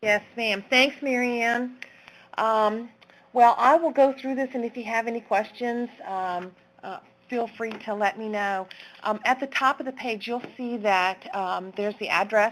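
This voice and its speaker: A plain, everyday voice, fairly slow in pace and ordinary in pitch variation. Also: woman, fairly high pitch for a woman. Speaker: teacher presenting a resource. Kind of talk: webinar presentation. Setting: online webinar.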